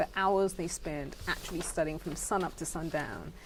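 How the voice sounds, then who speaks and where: At a moderate pace, a woman talks in a British accent. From England and the Caribbean. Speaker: education charity founder. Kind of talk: interview.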